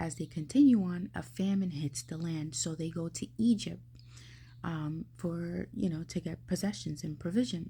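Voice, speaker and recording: At a moderate pace, a woman speaks with a fairly low pitch, a dark, mellow tone, lively intonation and vocal fry. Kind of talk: casual devotional talk. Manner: soft-spoken.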